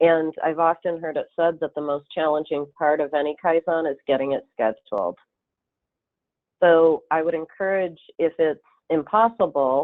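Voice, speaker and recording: A woman with a slight Upper Midwest accent speaks with a very deep, low pitch. Her pace is moderate and her pitch varies in an ordinary way. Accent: slight Upper Midwest (Fargo-like). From Michigan, US. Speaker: consultant presenter. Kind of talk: webinar presentation.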